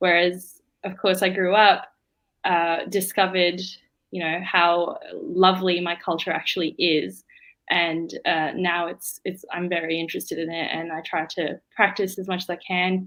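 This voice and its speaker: In an Australian accent, a woman speaks at a moderate pace with a fairly low pitch and monotone, flat intonation. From Australia (Melbourne), Indian-born. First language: Bengali. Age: young. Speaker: law student. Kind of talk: interview. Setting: live stream.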